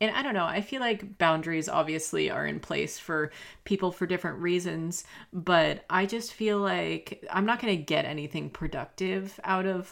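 This woman speaks with a fairly low pitch, some vocal fry and an American accent. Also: very clean recording, silent background. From US South. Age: 20s. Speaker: podcast host and YouTuber. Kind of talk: casual advice podcast monologue.

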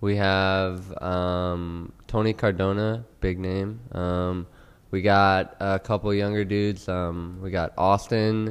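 A man speaks in a very deep, low voice. His delivery is very slow and monotone. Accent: American. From Houston, Texas. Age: 20s. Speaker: pro BMX rider and coffee entrepreneur. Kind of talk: casual chat. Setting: studio.

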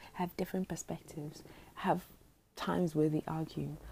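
A woman talks at a fairly quick pace in a somewhat breathy voice, her pitch fairly low for a woman. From Botswana. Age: 20s. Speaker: podcaster. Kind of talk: casual monologue. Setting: at home at night.

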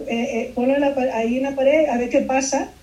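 Talking at a fairly quick pace, the woman has a high-pitched voice. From Peru (Lima) until 8, then raised in Miami. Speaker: illustrator. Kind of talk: interview. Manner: halting, many repetitions and fillers.

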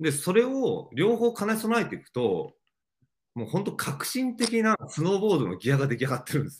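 At a high pitch with very wide pitch swings, a man talks at a fairly quick pace. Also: big swings in loudness. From Japan, Mie Prefecture. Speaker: outdoor brand creative director and entrepreneur. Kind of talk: casual interview.

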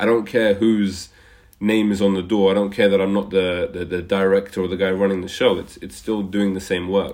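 A man speaks with flat, monotone intonation at a fairly low pitch. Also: moderate pace. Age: 30s. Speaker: charity worker, former podcast host. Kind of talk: casual chat. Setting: video call. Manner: halting, repeats words.

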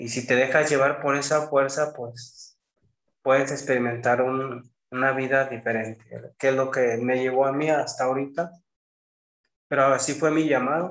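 At a moderate pace and medium pitch, a man speaks in a monotone with flat intonation. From Mexico, Jalisco. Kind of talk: casual interview.

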